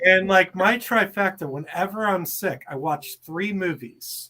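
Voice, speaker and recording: With a bright, sharp tone and ordinary pitch variation, a man speaks at a very slow pace. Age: 40s. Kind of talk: casual chat.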